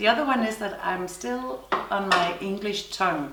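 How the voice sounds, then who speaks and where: Her pitch swings very widely as this woman talks at a fairly slow pace, with room echo audible. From Denmark. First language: Danish. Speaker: knitting podcaster. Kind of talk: casual chat. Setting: summer house on island. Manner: halting.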